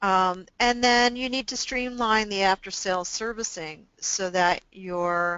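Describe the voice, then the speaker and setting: A woman with an unremarkable speaking voice, medium in pitch, fairly slow, with hardly any pauses and ordinary pitch variation. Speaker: business consultant and webinar presenter. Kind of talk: webinar presentation. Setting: online webinar.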